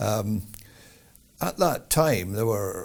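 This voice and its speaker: A man speaks in an Edinburgh accent at a fairly low pitch. The recording is very clean, with a silent background. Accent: Scottish (Edinburgh). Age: 70s. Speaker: jazz musician. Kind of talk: interview.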